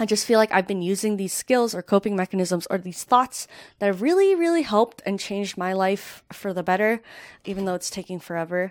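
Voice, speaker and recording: A woman's normal speaking voice, medium in pitch with ordinary pitch variation, at a fairly quick pace, with a dry, close sound with no echo and a very clean recording over a silent background. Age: 20s. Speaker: podcast host. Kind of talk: unscripted solo monologue. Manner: casual, filler-heavy.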